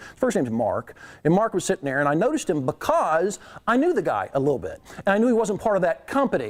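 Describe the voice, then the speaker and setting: A man speaks loudly at a very fast pace in a high pitch. His pitch swings very widely. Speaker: keynote speaker on leadership. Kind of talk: keynote speech.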